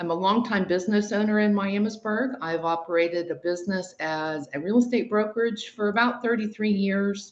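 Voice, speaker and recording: An unremarkable speaking voice, this woman's is medium in pitch with ordinary variation, moving at a fairly quick pace with hardly any pauses. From Ohio. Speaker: mayoral candidate. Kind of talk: candidate interview.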